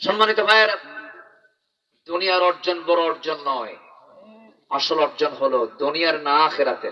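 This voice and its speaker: A man speaks with a high pitch for a man. His pitch varies in an ordinary way. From Dhaka, Bangladesh. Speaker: Islamic preacher giving a waz sermon. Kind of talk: public religious sermon to a live crowd. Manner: rhetorical, engaging the audience with questions and call-and-response.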